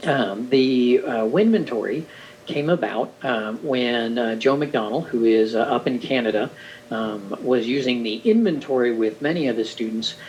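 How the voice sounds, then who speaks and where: Noticeable background noise sits under a man's voice. He speaks at medium pitch and a moderate pace, with ordinary pitch variation. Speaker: orientation and mobility instructor. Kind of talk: recorded presentation overview.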